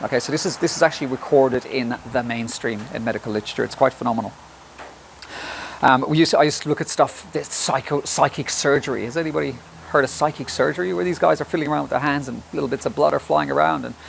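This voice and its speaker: A man with an Irish accent talks very fast at a medium pitch, with lively intonation over noticeable background noise. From Ireland. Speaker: health presenter. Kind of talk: presentation. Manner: halting.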